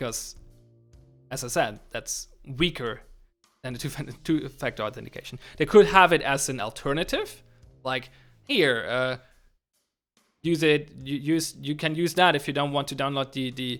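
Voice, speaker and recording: A man with a German accent talks at a fairly quick pace and fairly high pitch, with long, frequent pauses, as music plays in the background. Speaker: game developer streamer. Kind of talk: livestream chat while programming. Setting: livestream. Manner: halting, many restarts.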